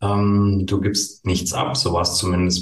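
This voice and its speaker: Audible room echo surrounds a man whose somewhat breathy voice stays monotone and flat. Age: 40s. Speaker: tax advisor and coach. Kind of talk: interview. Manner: hesitant with many fillers.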